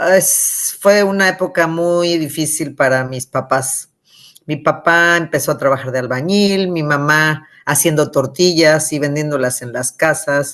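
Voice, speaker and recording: Against a quiet background, a woman talks at a fairly slow pace with a very deep, low pitch. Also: ordinary pitch variation. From Mexico City, raised from age six (born Michoacán). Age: 60s. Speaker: author. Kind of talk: interview. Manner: animated.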